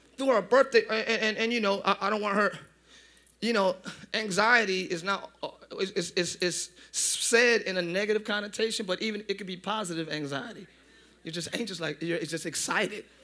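In a raised, projected voice with an American accent, a man talks at a moderate pace, his high pitch bright and sharp in tone, animated, with ordinary pitch variation. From northern US. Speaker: pastor. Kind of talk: sermon. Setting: church service with congregation.

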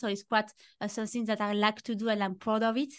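A woman's fairly high, fairly quick speech in a French accent, with a quiet background. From France. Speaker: fragrance expert. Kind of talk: casual chat.

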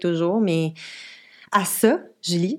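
Ordinary pitch variation from a woman speaking at a medium pitch. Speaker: podcast co-host. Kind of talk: casual chat. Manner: halting.

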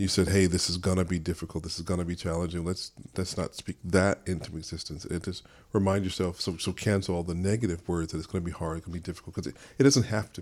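The speech races along at a very fast pace with fairly even intonation. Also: man, very clean recording, silent background. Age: 50s. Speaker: radio show host and father. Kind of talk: casual chat.

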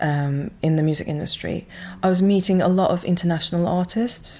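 A woman talks at a fairly quick pace. Her tone is dark and mellow. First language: not English. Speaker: record label founder. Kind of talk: casual interview. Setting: label office. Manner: hesitant, with fillers.

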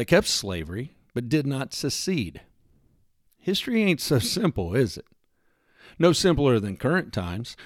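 A man's voice with a Texan accent and very wide pitch swings, in a very clean recording with a silent background. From US Texas. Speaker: podcast host. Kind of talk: solo monologue, personal essay. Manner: folksy, humorous, earnest.

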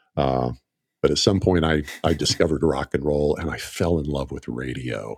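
In a very clean, dry and close recording with a silent background, a man with an American accent talks with vocal fry. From US South, northeast Oklahoma near Tulsa. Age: 60s. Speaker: marketer and radio ad writer. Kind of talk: casual chat. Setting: studio.

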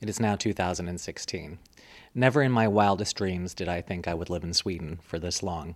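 This man's voice is very deep and low in pitch. He speaks at a moderate pace with ordinary pitch variation. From US, suburb of Washington, D.C. (born in Munich, Germany). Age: young. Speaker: public relations professional, former radio worker. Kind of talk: interview conversation.

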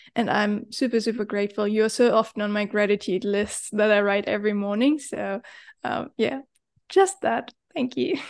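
A woman with a German accent speaks at a moderate pace in a fairly high voice, her pitch varying in an ordinary way over a quiet background. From Germany. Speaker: life coach. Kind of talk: casual chat.

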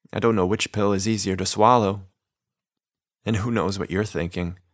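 The speech moves at a moderate pace with fairly even intonation, on a very clean recording with a silent background. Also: man. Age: 30s. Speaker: podcast host and narrator. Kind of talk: scripted narration.

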